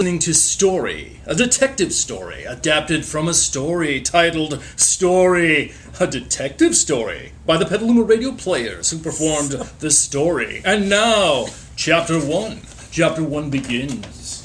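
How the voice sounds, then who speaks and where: Through noticeable background noise, a man talks at a fairly slow pace in a high pitch with lively intonation. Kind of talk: radio station promo announcer.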